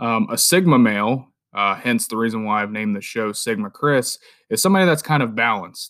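On a very clean recording with a silent background, a man speaks at a fairly quick pace with lively intonation and a medium pitch. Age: 30s. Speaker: podcast host. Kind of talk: solo monologue podcast. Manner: speaking louder than last episode. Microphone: new microphone.

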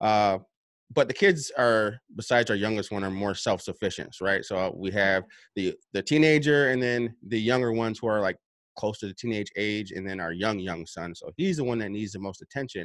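A man with a plain, everyday voice speaks at a moderate pace, fairly low in pitch with ordinary pitch variation. The recording is very clean with a silent background. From upstate New York. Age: 30s. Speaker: self-published author and personal development coach. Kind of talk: interview. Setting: home basement.

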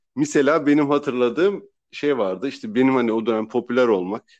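Speech comes at a very fast pace with lively intonation. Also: man. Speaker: podcast host. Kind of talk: casual chat.

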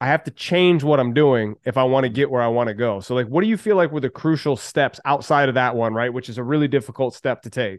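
Very fast speech from a man with ordinary pitch variation. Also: medium pitch for a man. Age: 40s. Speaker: podcast host and business coach. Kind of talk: casual interview chat.

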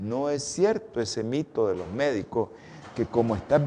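Speaking at a fairly slow pace, a man with a fairly high voice makes very wide pitch swings. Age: 60s. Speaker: doctor hosting a health show. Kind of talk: health talk.

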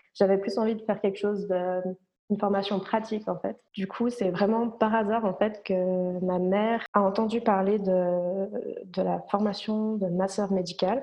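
A woman's medium-pitched voice, monotone and flat in intonation, at a fairly slow pace. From France, Ain (Nantua), moved to Switzerland at about 13. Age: 20s. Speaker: medical massage therapist. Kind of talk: casual interview.

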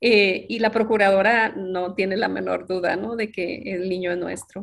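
A woman speaks in a normal speaking voice at a medium pitch. Her intonation stays fairly even, and her pace is fairly slow. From northern Mexico, Ciudad Juárez. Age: 50s. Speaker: interviewee sharing life story. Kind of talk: personal testimony.

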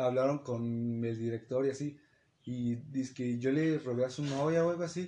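Against a quiet background, a man with a Mexican accent speaks at a fairly high pitch in a dark, mellow tone. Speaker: podcast co-host. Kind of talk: casual chat.

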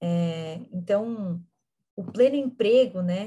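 A woman's dark, mellow, somewhat breathy voice with ordinary pitch variation, at a very slow pace. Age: 20s. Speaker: actress and political activist. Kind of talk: interview.

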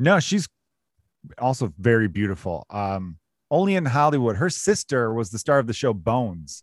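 A man with an American accent talks at a moderate pace and medium pitch, with very wide pitch swings. The recording is very clean, with a silent background. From US Midwest, Chicago. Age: 30s. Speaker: comedian. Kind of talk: casual chat.

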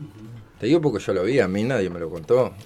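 Over music in the background, a man speaks with a Uruguayan accent and very wide pitch swings. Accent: Rioplatense Uruguayan Spanish. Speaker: cook and community radio volunteer. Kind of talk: casual interview. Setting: radio studio.

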